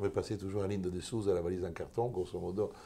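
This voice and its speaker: An Italian accent, with a dark, mellow tone, somewhat breathy, at a fairly quick pace. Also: man. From Italy. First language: Italian (speaking French). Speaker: lawyer. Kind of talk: interview. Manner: halting.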